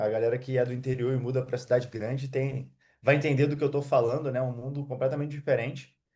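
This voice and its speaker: The man's voice is fairly high in pitch, with a dark, mellow tone. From Rio de Janeiro state, Brazil. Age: 30s. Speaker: digital affiliate marketer. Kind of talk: interview. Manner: halting.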